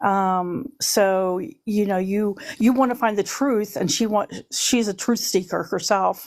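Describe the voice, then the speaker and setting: A woman speaks in an unremarkable speaking voice at medium pitch with ordinary pitch variation. Her pace is fairly slow, and the recording is very clean with a silent background. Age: 60s. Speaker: panel guest sharing survivor story. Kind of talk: personal testimony in live stream chat.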